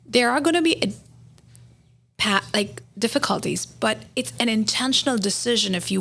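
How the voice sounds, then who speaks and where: Noticeable background noise sits behind a woman with a fairly high pitch. She speaks at a fairly slow pace with lively intonation. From India. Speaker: physician. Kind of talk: casual chat.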